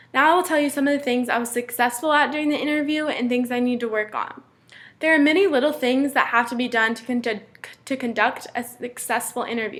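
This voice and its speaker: Mumbling at a fairly quick pace, a woman talks in a high pitch. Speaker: student. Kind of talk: class presentation. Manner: fast.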